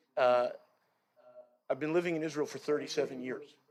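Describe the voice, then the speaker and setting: With a New York accent, a man speaks at a fairly high pitch using ordinary pitch variation. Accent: New York American. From US Northeast. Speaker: guest speaker. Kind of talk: speech to congregation. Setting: outdoor chapel. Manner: halting.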